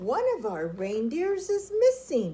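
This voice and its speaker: A woman's put-on character voice, high in pitch and at a fairly slow pace. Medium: read story. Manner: hesitant, fussy.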